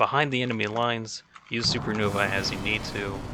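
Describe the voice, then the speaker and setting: A man's voice amid noticeable background noise. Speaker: gaming video guide creator. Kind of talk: tutorial. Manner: rambling, casual with filler words.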